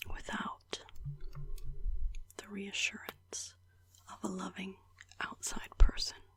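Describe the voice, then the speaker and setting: A woman is whispering at a very slow pace. She leaves long, frequent pauses. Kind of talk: ASMR personal video journal about mental health. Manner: whispered, soft-spoken.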